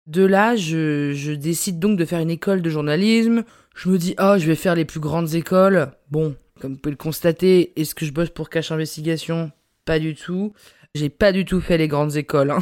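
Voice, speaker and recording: A woman speaks in an animated tone at a moderate pace with ordinary pitch variation. The recording is very clean, with a silent background. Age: 20s. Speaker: podcaster and journalist. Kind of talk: casual solo monologue. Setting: home recording.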